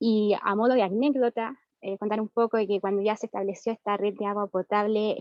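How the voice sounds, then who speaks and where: The speaker has an ordinary speaking voice. The intonation is fairly even. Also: woman. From central Chile, Valparaíso region countryside. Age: 30s. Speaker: rural community member, wetland defender. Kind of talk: panel presentation.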